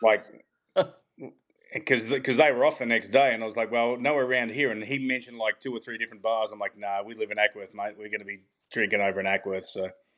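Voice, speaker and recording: Talking at a very fast pace in an Australian accent, a man keeps a medium pitch and fairly even intonation amid big swings in loudness. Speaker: tour caddy. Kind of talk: casual chat.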